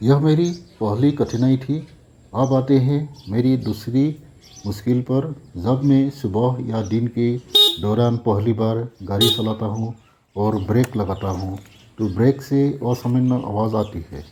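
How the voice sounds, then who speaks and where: The man talks in a medium pitch with ordinary pitch variation. He leaves long, frequent pauses. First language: not Hindi (speaking Hindi). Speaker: bike owner reviewer. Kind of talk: product review.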